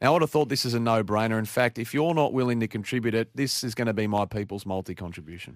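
Speaking very fast with hardly any pauses, a man with an Australian accent has a medium pitch and ordinary pitch variation, on a very clean recording with a silent background and a dry, close sound with no echo. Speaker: sports radio host. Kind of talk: sports preview chat. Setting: radio studio.

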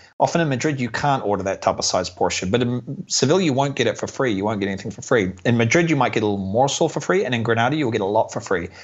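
A man's medium-pitched voice at a very fast pace, lively in intonation, with hardly any pauses. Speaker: YouTube travel creator and tour company founder. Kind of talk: casual interview chat.

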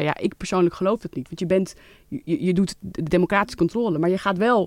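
On a very clean recording with a silent background, a woman talks at a very fast pace in a dry, close sound with no echo. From Netherlands, Leiden. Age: 30s. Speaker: member of parliament. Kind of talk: interview. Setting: studio.

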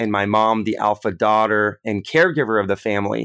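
On a very clean recording with a silent background and a dry, close sound with no echo, a man with an ordinary speaking voice talks at a moderate pace and a medium pitch. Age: 30s. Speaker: health tech CEO. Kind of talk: interview. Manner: frequent filler words.

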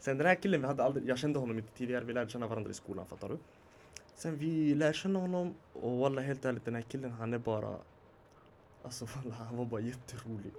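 A man races along at a very fast pace while his pitch varies in an ordinary way. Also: medium pitch for a man. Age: 20s. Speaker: podcast guest. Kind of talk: casual chat. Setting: studio with small live audience.

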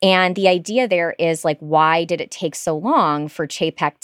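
In an ordinary speaking voice, a woman talks at a fairly slow pace and fairly low pitch, in a very clean recording with a silent background and a dry, close sound with no echo. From Michigan. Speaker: public radio reporter. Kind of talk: interview.

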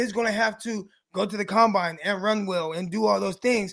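Here a man speaks at a moderate pace. His pitch is high, with ordinary variation. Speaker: podcast host and former pro football player. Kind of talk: casual sports podcast chat with ad reads.

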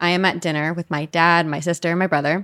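A woman with an American accent has a normal speaking voice at a fairly low pitch and talks at a fairly quick pace. The sound is dry and close with no echo, in a very clean recording with a silent background. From US Northeast (New Jersey). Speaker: paranormal podcast host. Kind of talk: casual chat.

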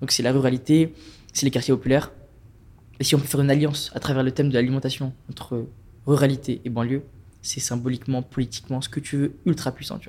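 A man's somewhat breathy, medium-pitched voice, very fast yet broken by long, frequent pauses, in a monotone, flat delivery. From France, Strasbourg. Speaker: climate activist. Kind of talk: casual chat.

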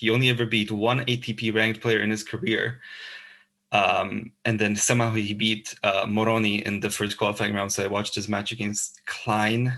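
This man speaks with a Slovak accent at a moderate pace. His pitch is fairly low and his intonation is monotone and flat. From Slovakia. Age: 20s. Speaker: tennis podcast co-host. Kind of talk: casual chat. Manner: halting, many fillers.

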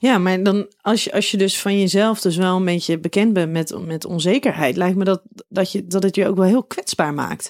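A woman talks at a moderate pace with hardly any pauses. Hers is an unremarkable speaking voice, medium in pitch with ordinary pitch variation. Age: 30s. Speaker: podcast host and relationship therapist. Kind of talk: interview.

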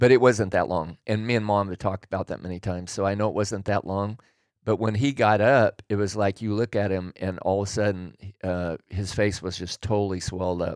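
In a very clean, dry, close recording with no echo and a silent background, a man with an unremarkable speaking voice talks fairly quickly at a fairly low pitch, his intonation fairly even. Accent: American. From Oregon, Willamette Valley. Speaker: host's father. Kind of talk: casual chat.

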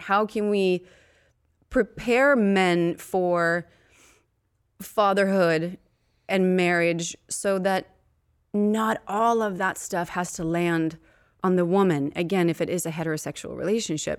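A woman speaks at medium pitch and a very slow pace, with ordinary pitch variation. She leaves long, frequent pauses, and the recording is very clean with a silent background. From Sweden, Uppsala. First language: Swedish. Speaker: actress and entrepreneur. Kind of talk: casual chat.

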